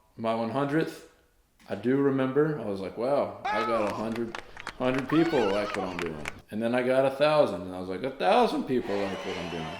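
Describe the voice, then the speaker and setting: A man with a Southern US accent speaks at a fairly quick pace with lively intonation. Audible room echo and crowd noise fill the background. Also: medium pitch for a man. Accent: Southern American. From US South, North Carolina. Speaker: YouTuber and singer. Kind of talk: casual vlog, reading a letter aloud. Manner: animated.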